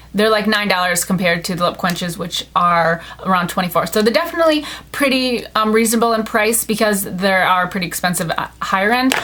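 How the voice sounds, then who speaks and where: A woman's very fast, lively speech at medium pitch, over noticeable background noise. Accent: American. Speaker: beauty vlogger. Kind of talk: product review haul. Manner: casual, filler-heavy.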